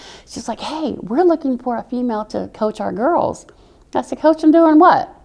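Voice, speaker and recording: A woman talks at a moderate pace with a strong Southern US accent. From military brat, mainly Oklahoma. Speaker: army veteran. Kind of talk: interview. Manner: animated.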